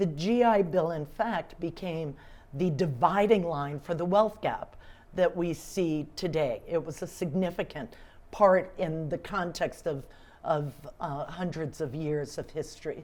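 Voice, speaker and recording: A woman with a plain, everyday voice talks at a fairly slow pace, fairly low in pitch with ordinary pitch variation. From US South, Atlanta. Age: 60s. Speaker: civic leader, award recipient. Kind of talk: interview.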